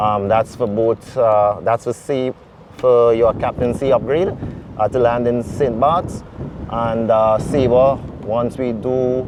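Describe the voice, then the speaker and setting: A man's medium-pitched voice at a fairly slow pace against noticeable background noise. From Trinidad and Tobago. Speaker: airline pilot. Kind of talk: interview. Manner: halting, many fillers. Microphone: wind distortion in mics.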